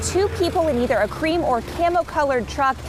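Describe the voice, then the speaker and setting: This woman talks fairly quickly, her intonation lively, as noticeable background noise carries on. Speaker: television news reporter. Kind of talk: news reporter stand-up montage, on-camera delivery.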